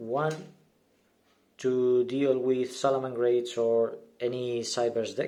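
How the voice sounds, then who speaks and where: In a non-native accent, a man speaks very slowly at medium pitch with a dark, mellow tone, monotone intonation, and long, frequent pauses. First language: not English. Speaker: gaming YouTuber. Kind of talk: deck profile tutorial. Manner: halting, many fillers and repeats.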